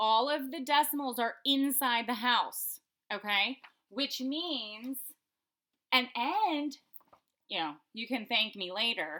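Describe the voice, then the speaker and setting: Loud and high-pitched, a woman talks at a fairly slow pace in a bright, sharp tone. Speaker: elementary school teacher. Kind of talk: remote math lesson for students. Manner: casual, frequent fillers.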